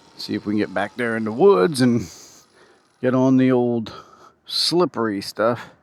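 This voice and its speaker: Noticeable background noise fills the recording. Through it, a man talks with ordinary pitch variation. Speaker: motovlogger. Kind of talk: casual chat. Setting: outdoors. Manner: shaky when seated on bumps.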